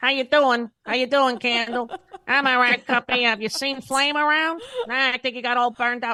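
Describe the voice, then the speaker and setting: With a fairly high pitch, someone performs in a put-on character voice. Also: moderate pace. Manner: funny cartoonish.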